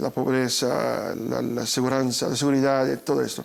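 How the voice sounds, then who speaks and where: At a fairly slow pace, a man delivers his words. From Brazil. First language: Portuguese (speaking Spanish). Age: 40s. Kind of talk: interview. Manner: halting, repeats words.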